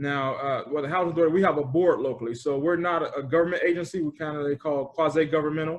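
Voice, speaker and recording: An American accent marks this man's fairly high voice. He talks at a very fast pace with fairly even intonation. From Gary, Indiana. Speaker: public housing executive. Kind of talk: interview answer.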